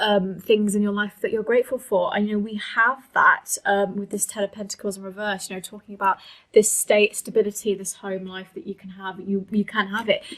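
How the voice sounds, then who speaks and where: At a fairly quick pace, a woman speaks in a monotone, flat way at medium pitch, with big swings in loudness. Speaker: tarot reader. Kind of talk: tarot reading monologue. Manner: fast; hesitant, many fillers.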